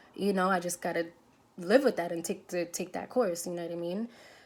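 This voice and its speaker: A woman with a New York accent, medium in pitch, at a fairly quick pace. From New York City. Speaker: nurse. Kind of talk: casual vlog storytelling.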